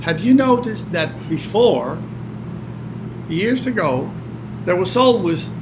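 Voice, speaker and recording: Over noticeable background noise and audible room echo, a man's voice swings very widely in pitch. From Cuba. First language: Spanish. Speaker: retired hurricane forecaster. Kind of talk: interview conversation.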